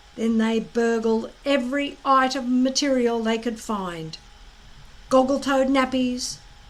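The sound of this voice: A woman's high-pitched voice at a slow pace, with ordinary pitch variation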